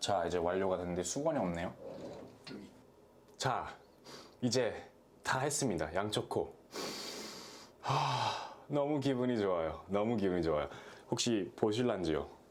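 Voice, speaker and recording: Fairly slow and marked by long, frequent pauses, the speech has an animated tone, lively intonation and very even loudness, with audible room echo. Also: man, fairly low pitch for a man. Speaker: product review vlogger. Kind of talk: product review tutorial. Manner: casual, animated.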